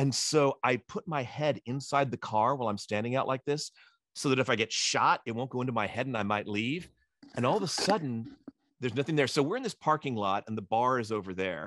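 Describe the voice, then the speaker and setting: Animated in tone, a man at medium pitch talks at a fairly quick pace with lively intonation. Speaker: eDiscovery legal educator and moderator. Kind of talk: casual storytelling in an interview answer. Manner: animated, fast, humorous.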